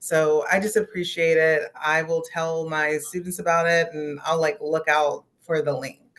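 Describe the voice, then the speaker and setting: A woman's plain, everyday voice with an American accent, fairly low in pitch, fairly even in intonation, at a fairly slow pace. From West Virginia. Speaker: youth organizer. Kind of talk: casual discussion comment.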